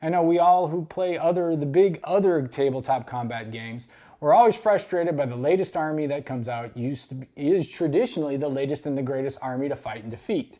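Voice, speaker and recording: A voice with an American accent talks at a very fast pace in a very clean recording with a silent background. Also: hardly any pauses. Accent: Texas pronunciation others tease. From Texas. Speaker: YouTube wargaming hobbyist. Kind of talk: unboxing video. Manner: casual, some self-corrections.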